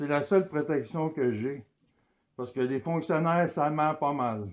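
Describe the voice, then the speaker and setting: Speaking loudly at a fairly slow pace, a man uses a fairly high pitch with ordinary pitch variation. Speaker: citizen auditor. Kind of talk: heated argument.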